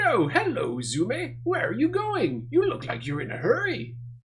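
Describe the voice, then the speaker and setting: A man performs a put-on character voice at a moderate pace. Clear background noise is present. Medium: game stream.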